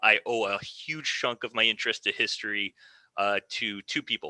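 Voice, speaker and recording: In a very clean recording with a silent background and a dry, close sound with no echo, a man with an American accent talks at a moderate pace in a fairly low voice with a bright, sharp tone and fairly even intonation. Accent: American twang. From US Midwest, Michigan (Ann Arbor). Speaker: military historian. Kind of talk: podcast interview.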